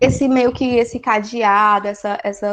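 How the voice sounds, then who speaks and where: At a very slow pace, a woman speaks in a fairly high voice with fairly even intonation. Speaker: study group teacher. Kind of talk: lecture.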